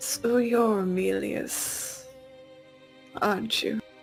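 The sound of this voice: In a put-on character voice, a female-sounding speaker talks very slowly at medium pitch over clear music in the background.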